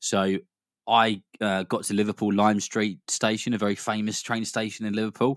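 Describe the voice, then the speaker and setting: Recorded very cleanly with a silent background and a dry, close sound with no echo, a man with a British accent speaks at a fairly quick pace and fairly low pitch in a monotone, flat intonation. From Britain. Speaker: boxing commentator, podcast co-host. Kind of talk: casual podcast chat.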